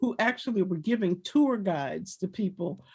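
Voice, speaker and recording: A woman with an American accent talks at a moderate pace. Her voice is somewhat breathy, with lively intonation. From Washington, D.C. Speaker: former activist. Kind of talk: panel discussion. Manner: halting.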